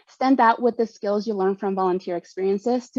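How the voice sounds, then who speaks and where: A woman's fairly high voice at a very fast pace, with ordinary pitch variation and a dry, close sound with no echo. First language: Spanish. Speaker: panelist, community volunteer and trainer. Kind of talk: prepared panel remarks. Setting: virtual event video call.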